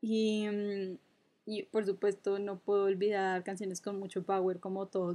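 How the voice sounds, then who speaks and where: A woman speaks in a monotone, flat intonation at a medium pitch. Her pace is moderate, with a quiet background. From Colombia, Cúcuta. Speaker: podcast co-host. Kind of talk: casual chat.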